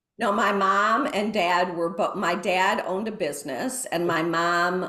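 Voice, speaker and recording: A woman with an American accent at a fairly slow pace, medium in pitch, with audible room echo. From US Midwest. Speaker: mindfulness teacher. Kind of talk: interview.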